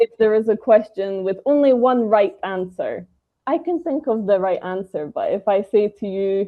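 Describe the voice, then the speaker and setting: This woman speaks with a British accent at a fairly high pitch. Her intonation is lively. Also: moderate pace. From Britain. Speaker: English trainer. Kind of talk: interview.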